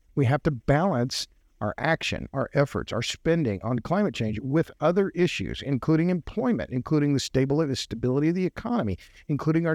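Delivered with lively intonation in an American accent, the voice has a dry, close sound with no echo against a quiet background. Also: man. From Oklahoma. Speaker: writer and podcaster on energy. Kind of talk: podcast interview.

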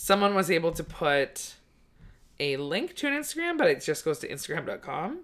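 A woman speaks with a Canadian accent. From Canada, British Columbia. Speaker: comedian podcast host. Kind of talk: casual chat. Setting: studio.

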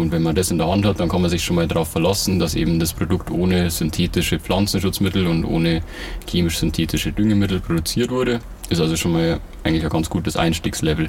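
A man talks at a very fast pace in a very deep, low voice. His intonation stays fairly even and his loudness very even, with noticeable background noise behind him. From Bavaria, Ingolstadt. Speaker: organic farmer. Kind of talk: casual interview.

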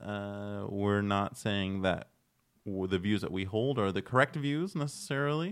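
Fairly low in pitch, a man talks with very wide pitch swings. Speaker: podcast host. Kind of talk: casual chat. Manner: joking, chatty.

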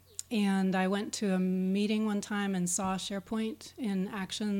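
With an American accent, a woman speaks in a dark, mellow tone at a medium pitch, her intonation fairly even. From Pittsburgh, Pennsylvania, US. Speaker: SharePoint consultant and speaker. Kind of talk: interview chat.

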